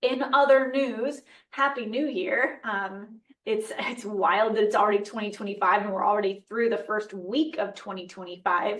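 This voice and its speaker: An ordinary speaking voice, ordinary pitch variation, and a moderate pace. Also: woman, fairly high pitch for a woman. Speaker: nutrition podcast host. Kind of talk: casual educational podcast talk.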